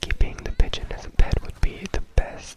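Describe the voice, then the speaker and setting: Over noticeable background noise, a man whispers. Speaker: ASMR creator. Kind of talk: ASMR whisper ramble to camera. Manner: whispered, soft-spoken.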